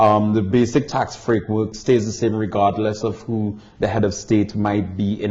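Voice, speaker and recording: With a Caribbean accent, a man talks in a fairly low pitch and a monotone, flat intonation, with hardly any pauses. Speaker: tax barrister and visiting lecturer. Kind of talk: interview. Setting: barristers' chambers in London.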